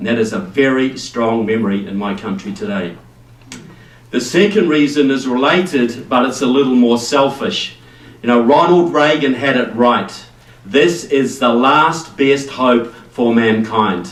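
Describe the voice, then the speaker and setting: A man with a New Zealand accent speaks at a fairly slow pace in a medium pitch with lively intonation. Noticeable background noise and audible room echo fill the recording. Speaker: political speaker. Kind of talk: speech to a rally audience. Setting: stage with live audience.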